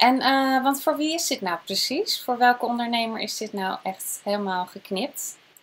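This woman's voice sits high in pitch. Her intonation rises and falls in a lively way. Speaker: video host and business coach. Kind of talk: interview intro and questions.

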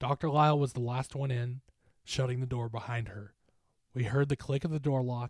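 Plain reading aloud, fairly even intonation, and a quiet background

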